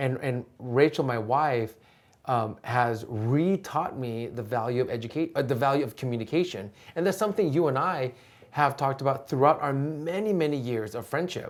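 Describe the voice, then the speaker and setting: In an American accent and a passionate tone, the speaker goes at a moderate pace with ordinary pitch variation on a very clean recording with a silent background. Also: man, fairly high pitch for a man. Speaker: educator. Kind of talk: interview. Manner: loud and passionate.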